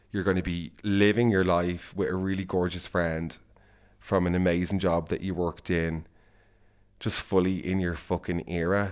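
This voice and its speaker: A man with an Irish accent talks at a moderate pace in a very deep, low pitch. The recording is very clean with a silent background. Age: 20s. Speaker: podcast host. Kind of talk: casual monologue. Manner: animated.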